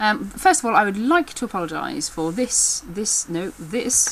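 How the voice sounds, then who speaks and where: Over noticeable background noise, the speaker goes at a fairly slow pace with very wide pitch swings. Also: woman. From England. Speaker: backstage theatre worker. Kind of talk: casual talk to camera.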